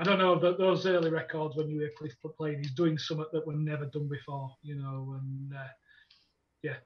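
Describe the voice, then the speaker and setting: Man with a Yorkshire accent, fairly high in pitch, with fairly even intonation. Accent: broad Yorkshire. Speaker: metal bassist. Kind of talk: casual chat.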